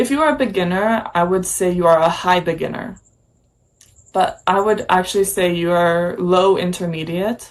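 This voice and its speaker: At a moderate pace and medium pitch, a woman with an American accent speaks in a normal speaking voice, her loudness very even and her pitch variation ordinary. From United States. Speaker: English teacher. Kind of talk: casual chat.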